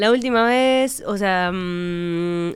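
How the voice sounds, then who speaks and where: Speaking very slowly with a Rioplatense accent, a woman keeps a medium pitch with ordinary pitch variation. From Uruguay, Montevideo. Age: 30s. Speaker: actress. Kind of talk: casual chat.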